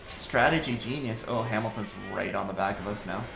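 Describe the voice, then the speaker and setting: A quiet man's voice at a fairly slow pace, with audible room echo and music in the background. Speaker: gaming youtuber. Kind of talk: gameplay commentary.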